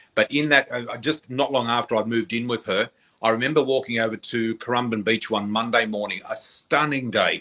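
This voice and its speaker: In a very clean recording with a silent background, a man with an Australian accent speaks at a fairly quick pace. His medium-pitched voice has a bright, sharp tone and fairly even intonation. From Australia, New South Wales. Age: 60s. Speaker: psychic. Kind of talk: interview storytelling.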